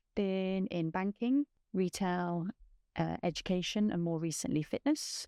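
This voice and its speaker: A woman speaks with an East Midlands accent. Her pitch varies in an ordinary way. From England, Nottingham (East Midlands). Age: 40s. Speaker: podcast host. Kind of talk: personal testimony. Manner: hesitant, with fillers.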